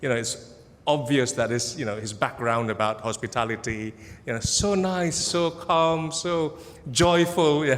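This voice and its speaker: With lively intonation and an Indonesian accent, a man with a fairly high voice speaks at a fairly slow pace in a space with audible room echo. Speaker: academic researcher. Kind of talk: conference presentation. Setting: conference hall with audience. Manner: casual, humorous, with many fillers.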